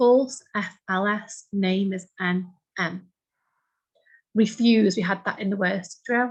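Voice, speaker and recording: Speaking very slowly with a British accent, a woman sounds somewhat breathy and leaves long, frequent pauses. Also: medium pitch for a woman. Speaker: shorthand teacher. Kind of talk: tutorial. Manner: animated.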